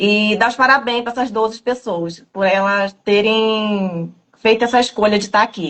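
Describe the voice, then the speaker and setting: With a normal speaking voice, a woman talks at a fairly slow pace and a fairly high pitch, using ordinary pitch variation. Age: 30s. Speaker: program participant giving testimony. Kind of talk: testimony. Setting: video call.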